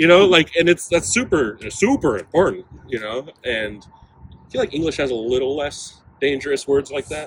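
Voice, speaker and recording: A man's fairly high-pitched, a plain, everyday voice, with lively intonation at a moderate pace. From Mexican heritage, US (Portland). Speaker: musician (saxophone player in a band). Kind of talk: casual interview chat. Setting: on-site at a festival.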